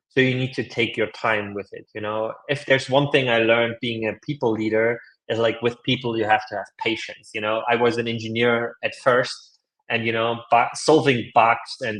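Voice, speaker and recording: A man with a non-native accent, at a moderate pace in monotone, flat intonation. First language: not English. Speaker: leadership coach and author. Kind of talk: podcast interview. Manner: casual, filler-heavy speech.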